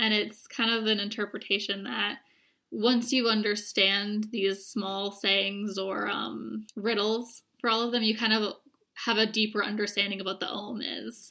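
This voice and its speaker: A woman with an American accent speaks at a fairly slow pace in a medium pitch. Her tone is bright and sharp, with monotone, flat intonation. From rural Vermont, US. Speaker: divination reader. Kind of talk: casual chat. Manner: polite.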